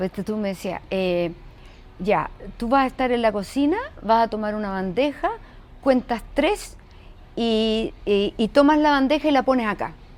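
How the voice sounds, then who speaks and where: Fairly high-pitched woman with a Chilean accent, fairly slow pace, lively intonation and long, frequent pauses. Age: 70s. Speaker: actress and voice actor. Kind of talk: casual interview chat.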